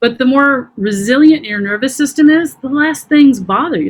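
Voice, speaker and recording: A woman speaks at a moderate pace with ordinary pitch variation. She has an ordinary speaking voice. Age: 50s. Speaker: trauma healing practitioner. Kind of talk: interview. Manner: conversational, many fillers.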